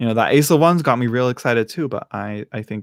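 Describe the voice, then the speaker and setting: With an American accent, a man speaks at medium pitch and ordinary pitch variation. The sound is dry and close with no echo, on a very clean recording with a silent background. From California. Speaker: tarot reader, streamer. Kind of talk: live stream reading. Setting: home live stream. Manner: casual, halting with fillers.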